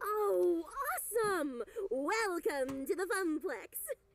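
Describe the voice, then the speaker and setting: In a put-on character voice at an extremely high pitch, a woman speaks at a very slow pace. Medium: game stream. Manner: friendly, perky.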